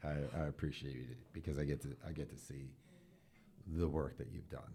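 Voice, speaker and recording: A man's very deep, low voice with a dark, mellow tone and vocal fry, at a moderate pace. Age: 50s. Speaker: school superintendent, podcast host. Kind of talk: casual interview. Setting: school podcast.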